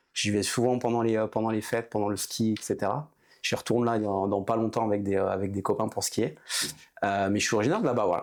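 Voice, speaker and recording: A man talks at a very fast pace with fairly low pitch and fairly even intonation. His loudness stays very even in a very clean recording with a silent background. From Haute-Savoie, French Alps. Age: 30s. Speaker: entrepreneur, former hockey player. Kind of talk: casual interview. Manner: hesitant, many fillers.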